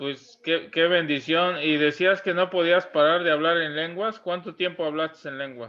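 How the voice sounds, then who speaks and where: A man speaks with high pitch and hardly any pauses. His intonation is fairly even. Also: moderate pace. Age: 60s. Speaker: church interviewer. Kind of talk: interview.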